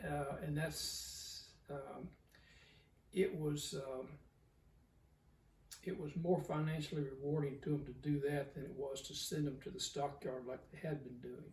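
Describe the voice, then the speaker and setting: A man with a Southern US accent, somewhat breathy and fairly high in pitch, with fairly even intonation, a fairly slow pace, long and frequent pauses, and audible room echo. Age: 70s. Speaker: cattle breeder. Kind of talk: interview. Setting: in person. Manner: halting, many fillers.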